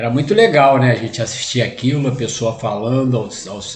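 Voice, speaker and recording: A man talks with fairly even intonation. Room echo can be heard. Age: 60s. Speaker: spiritist lecturer. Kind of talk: lecture. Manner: halting, many fillers.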